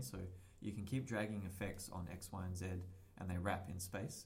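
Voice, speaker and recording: Through audible room echo and noticeable background noise, a man with a very deep, low pitch speaks at a fairly quick pace in a monotone, flat intonation. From northern England, Sheffield. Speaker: podcast co-host, game developer. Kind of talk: tutorial; casual chat.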